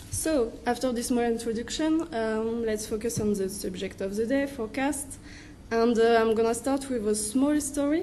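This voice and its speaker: A woman with a French accent, fairly high in pitch, dark and mellow in tone, at a moderate pace with ordinary pitch variation and audible room echo. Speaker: wind energy researcher. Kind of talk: conference presentation. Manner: halting.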